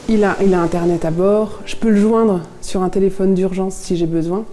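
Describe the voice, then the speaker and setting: Over music in the background, the speech moves at a fairly quick pace with monotone, flat intonation and audible room echo. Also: woman. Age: 30s. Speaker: sailor's wife. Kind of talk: interview testimony. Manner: hesitant, many fillers.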